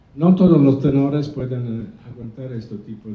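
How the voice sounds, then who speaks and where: A man speaks at a medium pitch with ordinary pitch variation. The room echo is audible. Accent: Italian. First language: Italian (speaking Spanish). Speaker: opera conductor. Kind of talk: press conference. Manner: halting.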